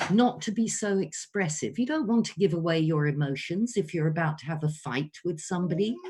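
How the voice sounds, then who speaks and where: Very wide pitch swings in a somewhat breathy voice from a woman. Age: 60s. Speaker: voice coach. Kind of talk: online workshop. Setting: video call.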